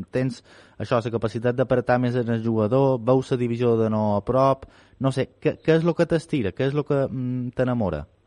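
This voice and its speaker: A man with a Mallorcan accent speaks at a moderate pace, his medium-pitched voice dark and mellow, with ordinary pitch variation. The sound is dry and close with no echo. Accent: Mallorcan Catalan. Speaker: sports radio host. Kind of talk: radio interview.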